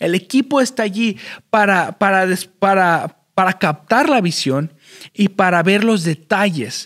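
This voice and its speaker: A man speaks fairly slowly at a high pitch, with lively intonation and very even loudness. The sound is dry and close with no echo. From Chicago, Illinois, US. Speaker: podcast host, church worker. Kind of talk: solo motivational talk. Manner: halting, many fillers and repeats.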